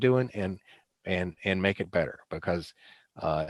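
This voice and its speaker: Here is an ordinary speaking voice from a man at a moderate pace with ordinary pitch variation. The sound is dry and close, with no echo. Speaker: presenter on addiction treatment. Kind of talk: lecture. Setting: video call.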